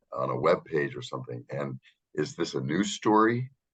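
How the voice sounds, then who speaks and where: A man with an American accent keeps his speech at a moderate pace. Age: 60s. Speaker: podcast co-host. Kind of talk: casual chat. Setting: video call. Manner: halting, many fillers.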